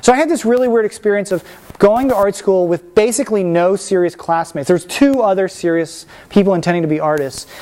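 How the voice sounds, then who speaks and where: A man talks at a very fast pace with a high pitch and lively intonation. Noticeable background noise runs behind him. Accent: American. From Washington DC, US. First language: Spanish. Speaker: painter. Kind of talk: artist talk. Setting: lecture room with audience. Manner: casual, many fillers.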